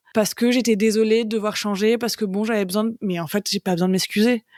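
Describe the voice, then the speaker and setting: This is a woman's voice with fairly even intonation. The recording is very clean, with a silent background and a dry, close sound with no echo. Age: 30s. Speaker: comic book author, cancer survivor. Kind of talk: podcast interview testimony. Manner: casual, hesitant with many fillers.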